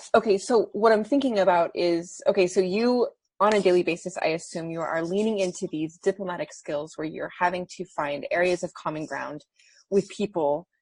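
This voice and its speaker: Here a woman uses a medium-pitched, somewhat breathy voice at a moderate pace with ordinary pitch variation. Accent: American. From United States. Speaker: audience member. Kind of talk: audience question. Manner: hesitant.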